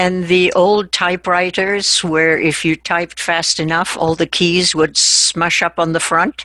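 The voice runs with hardly any pauses, very even loudness and monotone, flat intonation, in a dry, close sound with no echo and noticeable background noise. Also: woman, fairly low pitch for a woman, fairly slow pace. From Argentina. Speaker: translator and interpreter. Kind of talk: interview.

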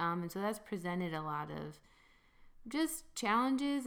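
With an American accent, a woman speaks at a fairly slow pace. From Grand Rapids, Michigan. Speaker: ministry worker and justice advocate. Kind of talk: interview conversation.

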